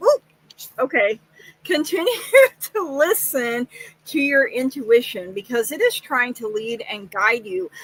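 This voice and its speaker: A woman with an Oklahoma accent, fairly slow in pace, with lively intonation. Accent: Oklahoma twang. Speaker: psychic tarot reader. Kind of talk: livestream tarot reading. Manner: casual, many fillers.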